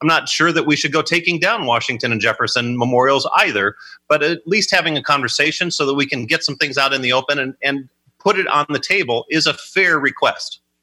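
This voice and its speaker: A man with a fairly high pitch speaks in a bright, sharp tone at very even loudness. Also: ordinary pitch variation. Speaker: political consultant. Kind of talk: political panel discussion.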